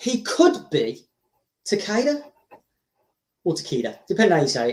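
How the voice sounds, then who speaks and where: With a high pitch, a man's voice makes very wide pitch swings. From Birmingham, England. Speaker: live streamer. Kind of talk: live stream chat. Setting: live stream, home webcam. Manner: rambling, self-correcting. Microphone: cheap webcam, unsure of volume.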